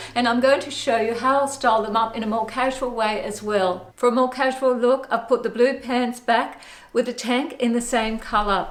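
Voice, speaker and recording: A woman with an Australian accent and a high pitch talks at a moderate pace, with fairly even intonation and hardly any pauses. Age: 60s. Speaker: fashion vlogger. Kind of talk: fashion styling tutorial.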